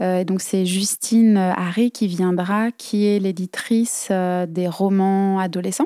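In a very clean recording with a silent background and a dry, close sound with no echo, a woman speaks at a medium pitch. Her tone is dark and mellow, her intonation fairly even and her pace very slow. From Brittany, France (Dinan, Côtes d'Armor). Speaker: dancer and choreographer. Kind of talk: interview.

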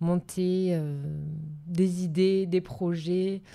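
A woman speaks in a medium pitch. The recording is very clean, the background silent. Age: 30s. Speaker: business coach and entrepreneur. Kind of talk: interview testimony.

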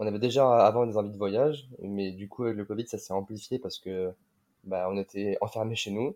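Against a silent background on a very clean recording, a man with a dark, mellow tone and fairly low pitch talks at a moderate pace with fairly even intonation. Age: 20s. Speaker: digital nomad, mobility consultant. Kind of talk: casual chat.

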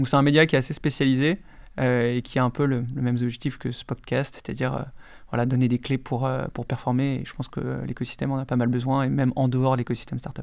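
On a very clean recording with a silent background, a man talks at a very fast pace in a monotone, flat intonation. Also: medium pitch for a man. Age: 30s. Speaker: startup chief executive. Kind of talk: casual interview.

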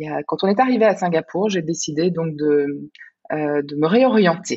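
A woman's fairly low-pitched voice. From Belgium. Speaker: life coach. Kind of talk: casual interview. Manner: halting, frequent word repetitions.

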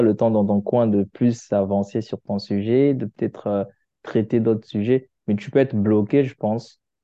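This is an ordinary speaking voice, a man talking fairly slowly at a fairly low pitch with fairly even intonation. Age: 20s. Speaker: engineer. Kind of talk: casual chat.

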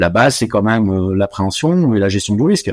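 Lively intonation marks this man's speech in a very clean recording with a silent background. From West Africa (Côte d'Ivoire, Morocco, Senegal). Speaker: chartered accountant and auditor. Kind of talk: interview. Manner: hesitant, many fillers.

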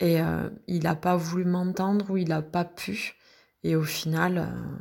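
The recording is very clean, with a silent background. A woman speaks in a somewhat breathy voice at a fairly low pitch. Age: 40s. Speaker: mother recovering from anorexia. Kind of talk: testimony.

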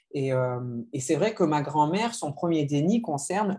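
A man speaks at a fairly high pitch with lively intonation. His tone is dark and mellow, and somewhat breathy. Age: 30s. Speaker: novelist. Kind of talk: literary interview.

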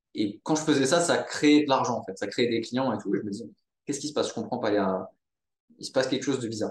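Here a man talks at a medium pitch with ordinary pitch variation. His pace is very fast. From Monaco. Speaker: entrepreneur, social network founder. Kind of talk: casual interview.

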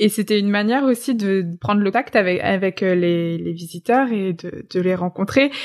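A woman's plain, everyday voice at medium pitch, with ordinary pitch variation, a moderate pace and hardly any pauses. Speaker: podcast host. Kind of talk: interview. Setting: remote recording. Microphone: remote recording, sound quality sometimes poorer.

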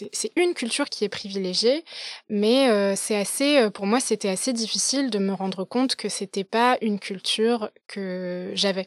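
Dry and close with no echo, a woman's fairly high-pitched voice carries ordinary pitch variation. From Paris, France. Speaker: podcaster and business operations manager. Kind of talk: casual interview chat. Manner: halting, many fillers and restarts.

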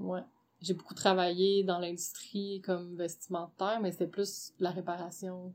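A woman talks in a Quebec accent at a medium pitch. Her intonation is monotone and flat. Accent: Québécois French. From Quebec, Gatineau. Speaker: entrepreneur, underwear designer. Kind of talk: casual interview.

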